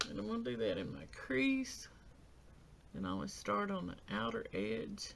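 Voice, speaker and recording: A woman mumbles at a fairly slow pace. Room echo is audible. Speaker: beauty vlogger. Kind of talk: makeup tutorial talk-through. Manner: mumbling.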